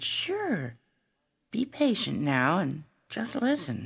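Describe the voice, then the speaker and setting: A female-sounding put-on character voice, fairly low-pitched, goes along at a very slow pace. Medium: read story. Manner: warm, reassuring.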